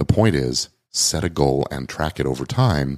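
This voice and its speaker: A man speaks with a very deep, low pitch, lively intonation and vocal fry. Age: 50s. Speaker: podcast host, lawyer and coach. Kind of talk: solo podcast monologue. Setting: recorded on video and livestream.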